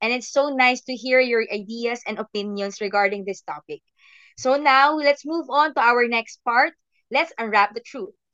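A woman's high voice with ordinary pitch variation at a fairly slow pace. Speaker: podcast host. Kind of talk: casual chat. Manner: animated.

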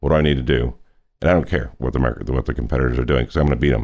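A man with an American accent speaks with vocal fry. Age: 60s. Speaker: real estate business leader. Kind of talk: interview.

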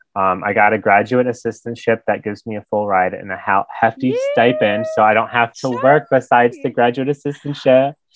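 This man has a normal speaking voice with an American accent and a medium pitch. He keeps a moderate pace and fairly even intonation. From US Midwest, Michigan. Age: 20s. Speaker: recent graduate heading to grad school. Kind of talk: casual chat. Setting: video call.

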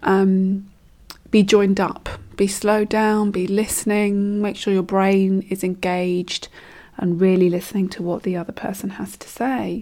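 Monotone, flat intonation with a dark, mellow tone. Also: woman, medium pitch for a woman. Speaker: coach and solo podcast host. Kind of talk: solo podcast monologue. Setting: home recording with decorators nearby. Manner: slow, neutral and calm; speeds up when carried away.

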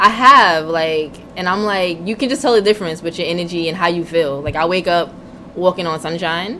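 A woman's fairly low voice at a fairly quick pace with ordinary pitch variation, over noticeable background noise. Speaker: podcast co-host. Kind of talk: casual chat. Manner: casual, profane.

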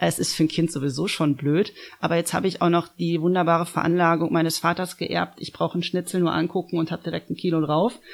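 The woman talks at a very fast pace. Her intonation is monotone and flat. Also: fairly low pitch for a woman. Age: 30s. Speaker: nutrition consultant. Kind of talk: casual interview. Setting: studio, face to face.

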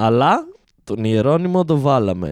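A man's voice with very wide pitch swings, recorded dry and close with no echo. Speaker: comedian doing live Instagram rants. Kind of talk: angry sarcastic rant about Covid, priests and Greek society, delivered live to chat. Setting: Instagram live stream addressing chat viewers. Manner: indignant, sarcastic, mocking, with incredulous stress and rising outrage.

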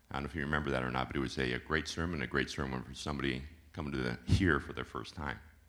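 A man with a very deep, low voice, a bright, sharp tone and vocal fry speaks at a very fast pace with fairly even intonation. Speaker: congregation member giving testimony. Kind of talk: testimony.

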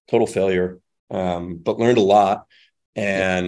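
The speaker has a Midwestern American accent against a quiet background. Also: man. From Michigan, suburbs of Detroit. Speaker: angel investor and startup operator. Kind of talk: interview conversation. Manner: casual, many fillers and repeated words.

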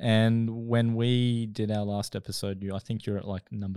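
A man speaks with a fairly low pitch and a dark, mellow tone, his intonation monotone and flat. The recording is very clean, the background silent. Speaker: podcast host. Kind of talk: casual interview chat.

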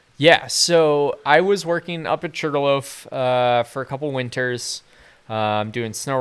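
On a very clean recording with a silent background, a man with an American accent and a normal speaking voice talks at a fairly slow pace with ordinary pitch variation. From US Northeast, southern Maine (York). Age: 20s. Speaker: outdoor adventure photographer. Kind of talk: casual chat. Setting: home garage studio.

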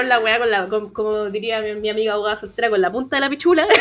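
A woman with a Chilean accent talks at a very fast pace, her fairly high pitch varying in an ordinary way. Noticeable background noise is present. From Chile, Puente Alto (Santiago). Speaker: podcast guest, podcaster. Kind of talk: casual chat.

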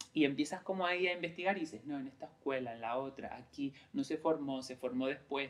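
A man talks at a very fast pace with hardly any pauses. His fairly high voice shows ordinary pitch variation. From Lanzarote, Canary Islands (San Bartolomé). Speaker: creative director, former actor. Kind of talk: interview conversation. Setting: recorded in Lanzarote. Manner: halting, many fillers and repetitions.

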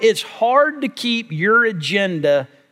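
A man's voice, bright and sharp in tone, moves through very wide pitch swings. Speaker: preacher. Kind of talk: sermon. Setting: church. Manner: animated; emphatic.

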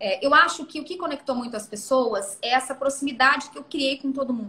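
Raising and projecting her high voice, a woman speaks fairly quickly with ordinary pitch variation. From Brazil, Mato Grosso do Sul; moved to São Paulo state at 12. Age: 30s. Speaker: mayor and former TV journalist. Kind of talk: interview.

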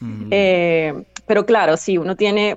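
The woman speaks with ordinary pitch variation. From Venezuela, Caracas. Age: 30s. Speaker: linguist and translator. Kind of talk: interview, personal testimony. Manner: hesitant, many fillers and repetitions.

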